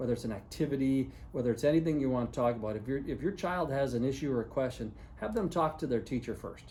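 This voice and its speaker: This man speaks at a fairly quick pace with vocal fry and a dark, mellow tone. His pitch sits in the medium range, with ordinary variation. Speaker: high school principal. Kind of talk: video announcement to parents and students. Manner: fast; casual, many fillers.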